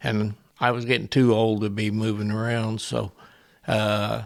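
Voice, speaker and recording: At a fairly slow pace, a man speaks in a fairly low, monotone voice with flat intonation. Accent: Midwestern US. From central Illinois. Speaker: retired factory worker and custom knife maker. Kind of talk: interview answer.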